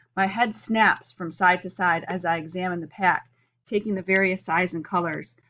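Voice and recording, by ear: Someone is reading aloud in a natural voice with fairly even intonation, and the background is quiet.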